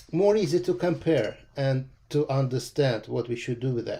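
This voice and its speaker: A man with a Russian accent speaks at a moderate pace, with a fairly high pitch and ordinary pitch variation. His tone is dark and mellow, and somewhat breathy. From Russia (Moscow). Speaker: watercolor painting teacher. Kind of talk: live painting demo tutorial. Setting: livestream. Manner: hesitant, frequent uh fillers.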